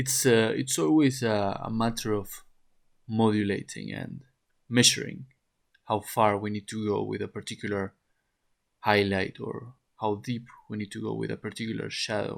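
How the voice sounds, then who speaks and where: Long, frequent pauses break up a man's speech, delivered at a moderate pace with a non-native accent. His pitch is fairly low, with ordinary pitch variation. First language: not English. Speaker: oil painting teacher. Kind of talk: tutorial. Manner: halting, with frequent repetitions and fillers.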